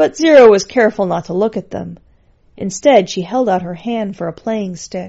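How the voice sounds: The voice reads naturally. Ordinary pitch variation is present.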